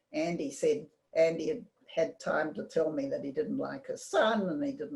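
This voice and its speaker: Speaking at a fairly slow pace, a woman talks with a New Zealand accent. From New Zealand, Auckland. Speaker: community member telling life story. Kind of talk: personal storytelling talk. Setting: video call. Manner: halting.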